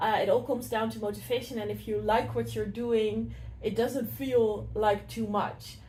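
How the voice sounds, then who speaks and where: The room echo is audible. A woman speaks at a fairly slow pace. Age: 20s. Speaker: city councillor and candidate. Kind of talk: casual interview. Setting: council offices.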